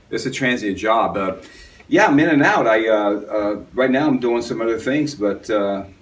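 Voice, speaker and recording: A man's medium-pitched voice with an American accent and ordinary pitch variation, set against audible room echo. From US South. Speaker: yoga teacher and actor. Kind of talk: interview. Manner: fast.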